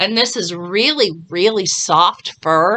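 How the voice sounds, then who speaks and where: A woman's medium-pitched voice comes across with a bright, sharp tone. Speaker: beauty and lifestyle vlogger. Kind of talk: hair tutorial. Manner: casual, chatty.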